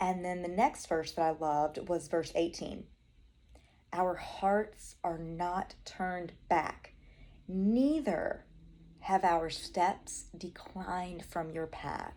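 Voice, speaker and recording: A very slow woman's voice, dark and mellow in tone, with ordinary pitch variation. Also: fairly low pitch for a woman. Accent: Southern US. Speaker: Bible study vlogger. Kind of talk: Bible study talk. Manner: casual, chatty.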